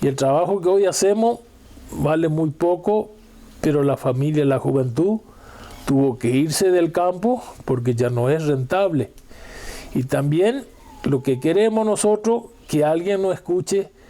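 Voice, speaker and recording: A man's fairly high voice with lively intonation, very even loudness and long, frequent pauses, against noticeable background noise. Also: fairly slow pace. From Argentina, Chaco rural. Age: 70s. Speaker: farmer. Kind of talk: testimony.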